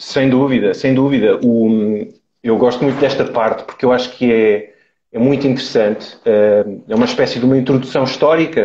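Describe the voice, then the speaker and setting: A man with a European Portuguese accent speaks at a medium pitch and moderate pace. His loudness stays very even, and his pitch varies in an ordinary way. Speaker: carnivore diet advocate. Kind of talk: live interview. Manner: hesitant, many fillers.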